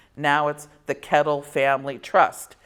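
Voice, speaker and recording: The speaker is a woman with a very deep, low pitch. She talks fairly slowly. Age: 60s. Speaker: wine compliance consultant. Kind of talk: seminar lecture. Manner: conversational.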